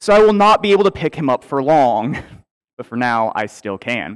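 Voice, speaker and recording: The setting behind the voice is quiet. A man talks at a moderate pace. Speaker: pastor. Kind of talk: sermon. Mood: warm, lightly humorous. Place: church. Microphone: headset.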